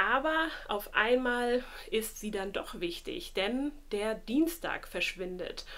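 A woman at a very slow pace with lively intonation. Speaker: book vlogger. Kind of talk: casual vlog chat. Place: home room.

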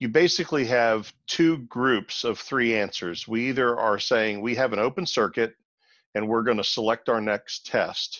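Using a plain, everyday voice, a man of medium pitch talks at a fairly slow pace with ordinary pitch variation. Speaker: automotive trainer. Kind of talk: webinar discussion.

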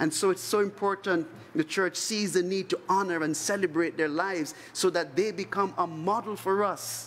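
This man talks at a moderate pace with a high pitch, fairly even intonation, very even loudness and hardly any pauses. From Trinidad. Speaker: priest. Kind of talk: homily at Mass. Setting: church chapel. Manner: solemn, earnest, pastoral. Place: church. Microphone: podium.

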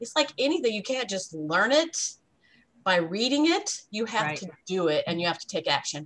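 Her pitch fairly high and swinging very widely, a woman speaks at a fairly quick pace with long, frequent pauses. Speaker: relationship coach and sales leader. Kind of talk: interview. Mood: warm, upbeat. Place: home room. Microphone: webcam.

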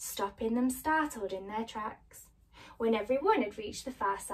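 The intonation moves in a lively way. The text is read aloud in a natural voice.

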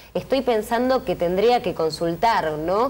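At a moderate pace, a woman speaks in a normal speaking voice with fairly high pitch. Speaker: TV co-host. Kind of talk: TV talk show. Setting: TV studio.

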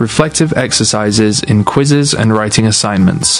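A man speaks at a moderate pace with lively intonation and a fairly low pitch. Music plays in the background. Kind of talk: corporate narration, educational course overview. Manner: clear, measured, instructional.

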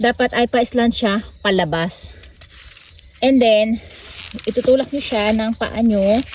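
Over noticeable background noise, a woman speaks at a very slow pace in a fairly high pitch with fairly even intonation. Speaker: farming vlogger. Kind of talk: farming tutorial vlog. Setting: outdoors on a farm.

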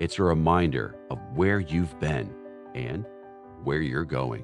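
Clear music plays behind a man with an American accent who speaks very slowly in a very deep, low voice with very wide pitch swings, in a dry sound with no echo. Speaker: voice actor. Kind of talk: TV commercial read. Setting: home studio. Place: studio.

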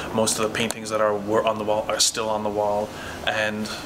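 The man speaks fairly quickly. Noticeable noise sits in the background. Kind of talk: casual explorer commentary. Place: empty room. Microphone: phone near.

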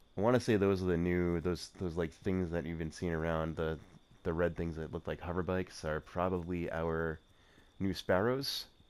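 Very deep and low in pitch, a man speaks at a moderate pace. His intonation is fairly even, and the recording is very clean with a silent background. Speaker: gaming video creator. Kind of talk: casual gameplay commentary. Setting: voiceover recorded separately over gameplay. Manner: casual, filler-heavy.

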